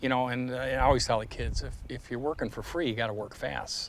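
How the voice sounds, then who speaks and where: This man has a Midwestern accent and a medium pitch. His pace is fairly quick. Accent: American Midwestern. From US Midwest, Detroit. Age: 60s. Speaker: artist. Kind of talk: interview conversation. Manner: animated.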